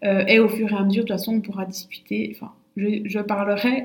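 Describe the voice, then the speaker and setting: Over noticeable background noise, a woman with a fairly high voice speaks at a moderate pace. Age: 20s. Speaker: naturopath and podcast host. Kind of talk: casual solo monologue. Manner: hesitant, many fillers and repetitions.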